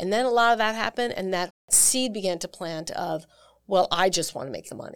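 A woman with an American accent speaks at a fairly quick pace and medium pitch in a plain, everyday voice. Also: ordinary pitch variation. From US Northeast, New York. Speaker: singer and vocal coach. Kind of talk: casual interview. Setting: studio.

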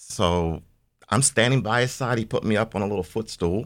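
A man speaks in a plain, everyday voice at a moderate pace with lively intonation, on a very clean recording with a silent background. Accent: American. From Washington, D.C. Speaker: media company co-founder. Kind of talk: interview.

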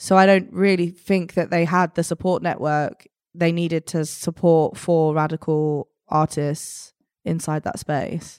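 Speaking with a South London accent, a woman keeps a fairly low pitch and fairly even intonation at a fairly slow pace, recorded very cleanly against a silent background. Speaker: artist and activist. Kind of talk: casual interview chat.

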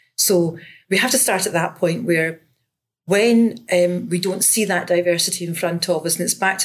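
A woman speaks with a Glaswegian accent at a fairly low pitch. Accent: Glaswegian Scottish. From Scotland, Glasgow. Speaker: education lecturer. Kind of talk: interview.

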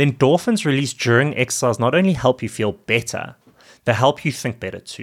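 An unremarkable speaking voice at a fairly quick pace with lively intonation, on a very clean recording with a silent background. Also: man. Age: 30s. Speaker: podcast host and fitness coach for dads. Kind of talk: solo podcast monologue.

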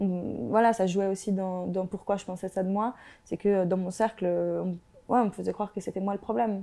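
This is an unremarkable speaking voice at a moderate pace. The intonation is fairly even. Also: woman, medium pitch for a woman. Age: 20s. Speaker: YouTuber and sociology graduate. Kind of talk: interview about mental health. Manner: casual, with many fillers.

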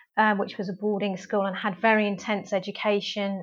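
A quiet background behind a woman at a moderate pace. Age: 40s. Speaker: nutritional therapist. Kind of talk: interview.

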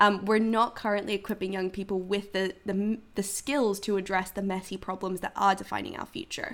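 A woman talks at a fairly quick pace and a medium pitch. She takes hardly any pauses. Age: 20s. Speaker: youth climate activist. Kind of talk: interview. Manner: animated.

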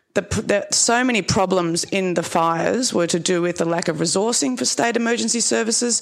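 Woman with an Australian accent, fairly quick, with very wide pitch swings and very even loudness over noticeable background noise. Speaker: social services worker. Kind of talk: panel discussion talk. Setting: stage with audience.

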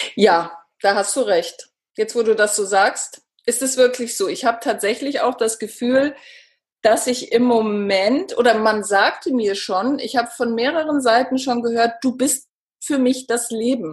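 A woman speaks in an unremarkable speaking voice at a fairly high pitch. Her pitch variation is ordinary and her pace fairly slow. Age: 50s. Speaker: author and cancer patient. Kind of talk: interview.

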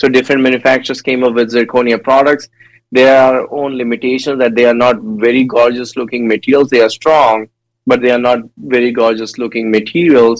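This man has an Indian accent and a medium pitch. He talks at a fairly quick pace with a monotone, flat intonation. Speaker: dental education director. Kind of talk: casual interview.

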